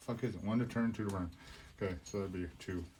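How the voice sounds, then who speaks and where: Mumbling at a fairly quick pace, a man talks in a dark, mellow tone with a fairly low pitch and ordinary pitch variation. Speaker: RC hobby video maker. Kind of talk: casual build tutorial.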